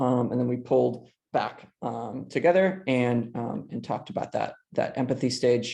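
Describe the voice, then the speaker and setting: A man speaks at a medium pitch with a dark, mellow tone, some vocal fry and ordinary pitch variation. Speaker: teacher presenting a workshop. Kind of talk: webinar presentation. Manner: halting, many fillers.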